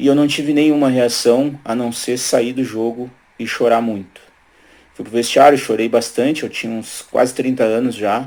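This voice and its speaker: A man with an unremarkable speaking voice talks at a moderate pace and medium pitch, his intonation fairly even but his loudness swinging widely. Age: 40s. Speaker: lawyer. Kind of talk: testimony.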